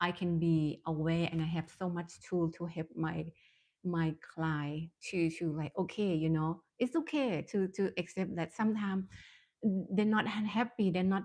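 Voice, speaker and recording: In a quiet setting, a woman speaks with a non-native accent at a fairly low pitch. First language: Thai. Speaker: mindfulness coach and therapist. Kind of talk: live-stream talk. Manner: halting, many fillers.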